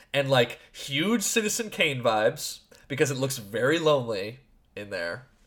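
Loud and fairly high-pitched, a man talks at a moderate pace with very wide pitch swings. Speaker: podcast host. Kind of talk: casual chat.

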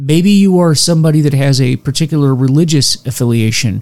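A man with an ordinary speaking voice, fairly high pitch, lively intonation and a moderate pace. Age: 50s. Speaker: recovery podcast host. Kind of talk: solo educational talk.

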